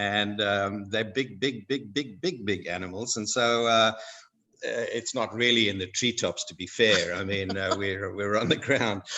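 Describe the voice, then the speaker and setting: With a Zimbabwean accent, a man speaks at a fairly slow pace with a fairly low pitch and ordinary pitch variation. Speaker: guest speaker. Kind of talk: educational talk for schoolchildren. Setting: video call. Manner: hesitant, many fillers.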